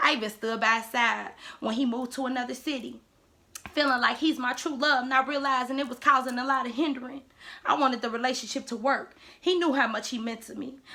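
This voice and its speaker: A woman speaks at a fairly quick pace in a raised, projected voice, her high pitch bright and sharp and her intonation fairly even. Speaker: spoken word poet. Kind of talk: spoken word poetry.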